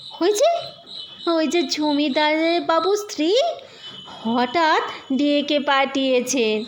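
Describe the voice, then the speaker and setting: Over clear background noise, a woman uses a put-on character voice, high in pitch and very slow. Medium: read story.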